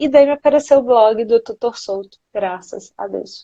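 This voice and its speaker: The speaker talks at a moderate pace in a São Paulo accent. Pitch variation is ordinary. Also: woman. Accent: São Paulo (paulista). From Minas Gerais, Brazil. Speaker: nutritionist. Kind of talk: live interview. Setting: Instagram live.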